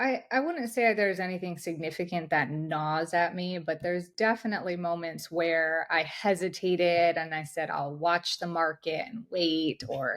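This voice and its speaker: In a very clean recording with a silent background, a woman speaks in a normal speaking voice at a moderate pace, fairly low in pitch with ordinary pitch variation and hardly any pauses. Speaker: high-performance coach. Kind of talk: interview.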